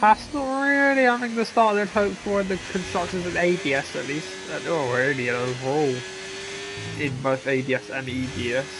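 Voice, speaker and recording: The pace of the speech is moderate. Behind it, music can be heard. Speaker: sim racing league commentator. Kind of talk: live commentary. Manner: casual, with fillers.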